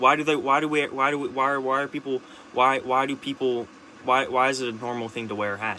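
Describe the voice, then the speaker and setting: A man speaks at medium pitch. He talks at a very fast pace over noticeable background noise. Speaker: vlogger. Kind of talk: casual monologue. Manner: halting, many restarts and repetitions; rambling, animated.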